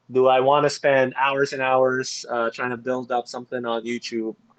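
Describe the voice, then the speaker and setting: A man with a non-native accent speaks at a moderate pace and medium pitch with fairly even intonation, in a dry, close sound with no echo. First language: not English. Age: 30s. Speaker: dialysis nurse and game guide writer. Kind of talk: casual interview.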